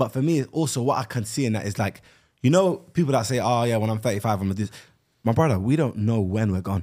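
The tone is dark and mellow. Delivery comes at a very fast pace with lively intonation. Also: man, medium pitch for a man. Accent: London. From South London. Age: 20s. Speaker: podcast co-host and YouTuber. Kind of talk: casual chat. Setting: studio.

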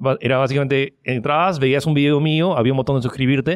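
A man's fairly high-pitched voice at a fairly quick pace, on a very clean recording with a silent background. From Peru. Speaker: online giveaway entrepreneur. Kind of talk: interview. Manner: halting.

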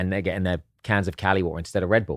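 This man has an English accent and talks at a very fast pace. His intonation is flat and monotone, and the recording is very clean with a silent background. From southern England (East Sussex). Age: 40s. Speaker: actor and entrepreneur. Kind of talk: casual chat.

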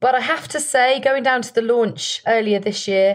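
The speaker is a woman. She has a British accent. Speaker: broadcaster and podcast co-host. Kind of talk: casual podcast chat.

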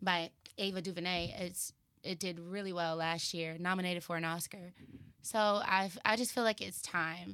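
In a Texan accent, a woman speaks at a fairly low pitch with a bright, sharp tone and fairly even intonation. Her pace is moderate, and the recording is very clean with a silent background. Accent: Texas, Southern. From Texas, Dallas. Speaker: actress and filmmaker. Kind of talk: casual chat. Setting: studio.

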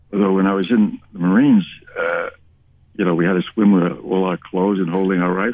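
A man's very deep, low voice at a fairly quick pace, with fairly even intonation and noticeable background noise. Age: 80s+. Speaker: retired newspaper reporter. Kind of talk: personal storytelling interview. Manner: halting.

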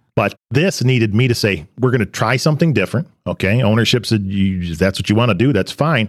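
A man's plain, everyday voice with an American accent, medium pitch, lively intonation, very even loudness, a fairly quick pace and hardly any pauses. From western Michigan. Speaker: manufacturing company president. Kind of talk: interview.

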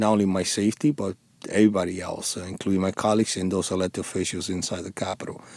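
A man's fairly low-pitched voice, dark and mellow in tone, with a strong Dominican accent and monotone, flat intonation. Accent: thick Spanish (Dominican) accent in English. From Dominican Republic. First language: Spanish. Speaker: former police officer and war veteran. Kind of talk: interview. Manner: halting, many fillers and repeated words.

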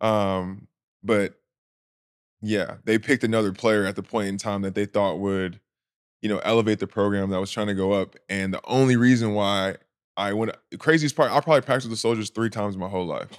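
With an ordinary speaking voice, a man talks at a fairly quick pace in a fairly low pitch, his intonation fairly even over a very clean recording with a silent background. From California. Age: 20s. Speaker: professional basketball player. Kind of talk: casual chat. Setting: studio.

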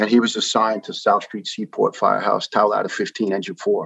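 The sound is dry and close, with no echo. The speaker talks fairly quickly in a New York accent. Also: man. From New York (Staten Island). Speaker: retired firefighter, cancer survivor. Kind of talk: interview storytelling. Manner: fast.

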